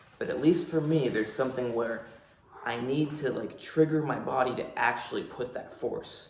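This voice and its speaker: Fairly even intonation comes through over noticeable background noise and audible room echo. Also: man, medium pitch for a man, moderate pace. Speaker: fitness coach and vlogger. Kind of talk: casual vlog talk to camera. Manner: forceful, powerful speaking when not relaxed.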